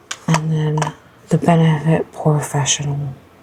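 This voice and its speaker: Against noticeable background noise, a woman speaks at a fairly slow pace in a very deep, low pitch. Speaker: beauty vlogger. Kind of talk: casual get-ready-with-me chat. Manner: quiet, talking low.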